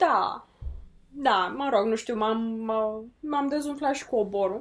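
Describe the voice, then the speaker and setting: A woman's fairly high-pitched, plain, everyday voice with ordinary pitch variation, on a very clean recording with a silent background. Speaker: podcast co-host. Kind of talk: casual chat.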